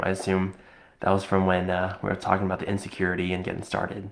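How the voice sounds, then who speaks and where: A man's very deep, low voice with monotone, flat intonation at a fairly quick pace. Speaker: business content creator. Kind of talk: live stream talk. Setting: live video stream. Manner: unscripted, conversational.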